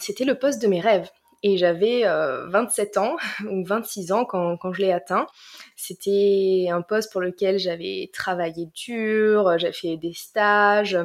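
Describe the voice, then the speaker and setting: A woman speaks very slowly at a medium pitch, her pitch varying in an ordinary way. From southern France, Marseille. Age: 20s. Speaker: life coach. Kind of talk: casual chat.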